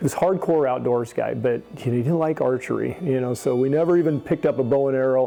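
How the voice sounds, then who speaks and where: Over music in the background, a man at medium pitch talks at a very fast pace with hardly any pauses, very even loudness and ordinary pitch variation. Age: 60s. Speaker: archery shop owner. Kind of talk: interview storytelling. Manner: animated.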